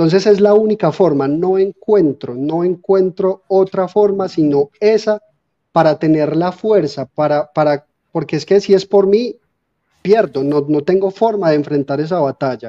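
A man's high voice at a fairly slow pace with ordinary pitch variation. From Colombia, Armenia (Quindío) with Antioquia influence. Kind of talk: testimony. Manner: halting, with repetitions. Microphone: phone mic after power outage.

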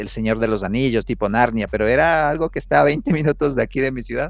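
With ordinary pitch variation, a man's speech moves along at a fairly quick pace. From Ecuador, Otavalo. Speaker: photographer. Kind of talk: casual interview chat. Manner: halting, with many fillers and repeated words.

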